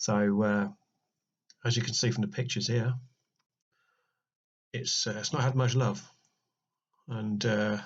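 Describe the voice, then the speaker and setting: A man with a British accent, medium in pitch and somewhat breathy, at a fairly slow pace with long, frequent pauses. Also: ordinary pitch variation. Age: 40s. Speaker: RC car restorer. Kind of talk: casual voice-over narration.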